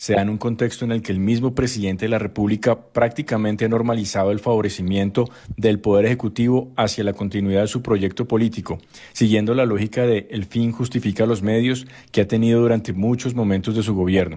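A man talks at a fast pace with few pauses, his dark, mellow tone carrying a slightly husky edge.

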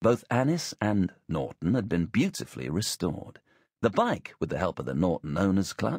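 Behind the voice, all is quiet. The text is simply read aloud in a plain way.

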